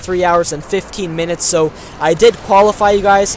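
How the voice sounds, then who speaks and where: A man with an American accent, high-pitched and monotone with flat intonation, at a moderate pace amid noticeable background noise. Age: young. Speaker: gaming YouTuber. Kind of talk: casual vlog commentary.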